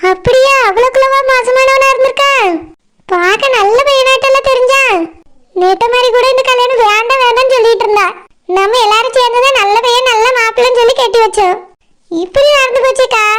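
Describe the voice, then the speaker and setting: A woman does a cartoonish character voice at an extremely high pitch. She keeps a moderate pace, very even loudness and fairly even intonation. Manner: prying, persuasive.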